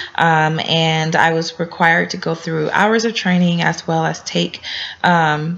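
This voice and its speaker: Against noticeable background noise, a woman speaks at a fairly slow pace with a fairly low pitch and monotone, flat intonation. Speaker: graduate student. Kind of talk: class introduction video. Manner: hesitant, many fillers.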